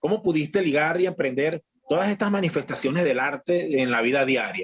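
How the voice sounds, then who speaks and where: A man speaks at a fairly quick pace in an ordinary speaking voice, fairly high in pitch with ordinary pitch variation. His loudness stays very even throughout. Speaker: podcast host. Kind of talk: podcast intro and interview questions.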